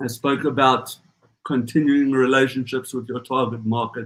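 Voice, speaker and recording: A man at a moderate pace and medium pitch. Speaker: accelerator organiser. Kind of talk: closing speech at online event.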